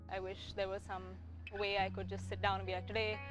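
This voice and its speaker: Over music in the background, a woman talks at a very fast pace with audible room echo. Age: 20s. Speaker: poet. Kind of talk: interview.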